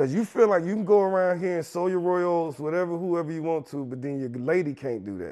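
A man with a high pitch and lively intonation speaks at a fairly quick pace. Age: 30s. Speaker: rapper and songwriter. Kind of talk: casual chat.

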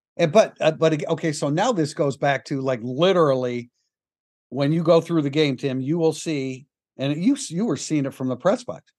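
An unremarkable speaking voice from a man with a fairly high pitch, ordinary pitch variation and a moderate pace, over a quiet background. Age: 60s. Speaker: sports podcast host. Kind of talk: casual chat.

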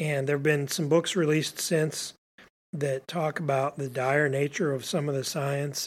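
On a very clean recording with a silent background, a man uses a normal speaking voice at a fairly high pitch. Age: 50s. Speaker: startup founder. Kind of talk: interview. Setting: host's office.

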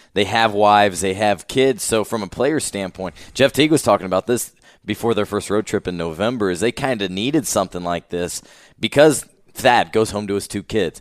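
A man with an American accent talks at a fairly quick pace in a plain, everyday voice, pitched fairly low with ordinary pitch variation. The recording is very clean, with a silent background. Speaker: sports podcast host. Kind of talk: interview. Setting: conference room.

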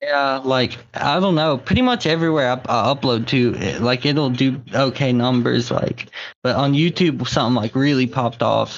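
Delivered with an American accent in a normal speaking voice, the speech moves at a fairly quick pace with ordinary pitch variation. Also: man. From Southwest Virginia. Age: 20s. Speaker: rapper. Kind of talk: casual chat. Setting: phone call.

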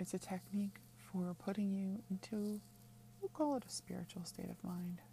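The voice is dark and mellow, somewhat breathy, and calm and soothing in tone, with lively intonation. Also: woman, medium pitch for a woman. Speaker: witchcraft teacher and podcast host. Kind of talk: guided meditation, tree-root visualization; scripted-style podcast intro with ad. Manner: calm, slow, soothing, instructive.

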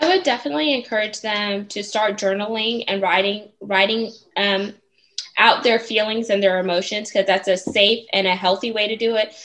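With a plain, everyday voice and an American accent, a woman speaks at a moderate pace and a fairly high pitch with fairly even intonation. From Houston, Texas. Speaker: author and speaker. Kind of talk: interview.

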